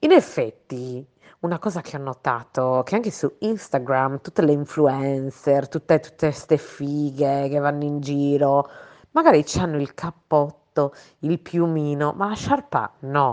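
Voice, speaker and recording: In an animated tone, a woman speaks at a fairly slow pace with a very deep, low pitch and ordinary pitch variation. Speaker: podcast co-host. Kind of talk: casual chat. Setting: recorded voice messages.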